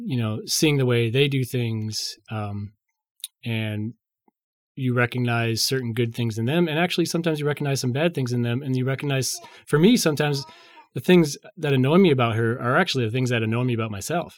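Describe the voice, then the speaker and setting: This man has an unremarkable speaking voice, medium in pitch, with ordinary pitch variation and a fairly quick pace. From northern Illinois (St. Charles, near Chicago). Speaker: musician and former studio intern. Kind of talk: casual interview, faith testimony.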